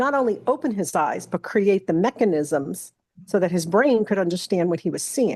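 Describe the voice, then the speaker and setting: Speaking with an American accent, a woman uses a medium pitch and lively intonation at a moderate pace. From New York. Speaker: Bible study leader. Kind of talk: Bible study discussion. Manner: animated.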